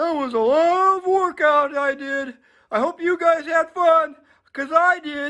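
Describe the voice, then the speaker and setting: Someone performs a put-on character voice at a high pitch. The pace is moderate. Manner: panting, cheerful.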